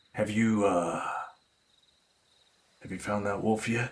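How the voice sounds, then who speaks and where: A man performs a put-on character voice at a fairly low pitch. He speaks at a fairly slow pace with monotone, flat intonation. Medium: actual play. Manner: condescending, gruff.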